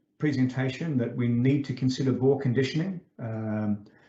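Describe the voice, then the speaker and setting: A somewhat breathy voice at a fairly quick pace. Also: man. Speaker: invited lecturer, groundwater engineer. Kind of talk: online conference lecture. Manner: many filler sounds, self-described as somewhat fast.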